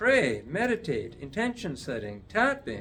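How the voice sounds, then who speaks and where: This man speaks at a moderate pace. Light background noise sits behind him. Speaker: addiction recovery teacher; teacher of a healing course. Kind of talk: video lesson. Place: office. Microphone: phone near.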